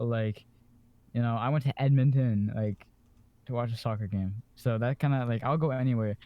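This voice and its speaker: In an unremarkable speaking voice of medium pitch, a man talks at a moderate pace with fairly even intonation. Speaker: podcast co-host. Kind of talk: casual chat.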